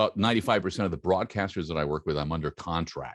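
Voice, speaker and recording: Vocal fry runs through speech at a very fast pace, with ordinary pitch variation. The sound is dry and close with no echo, over a quiet background. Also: man. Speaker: voice-over artist and voice coach. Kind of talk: interview.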